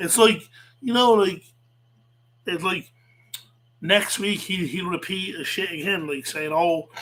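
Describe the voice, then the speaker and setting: An animated, high-pitched man at a fairly slow pace, with ordinary pitch variation. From Ireland, south Dublin. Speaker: livestreamer, wrestling commentator. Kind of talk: casual livestream rant. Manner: animated, repetitive.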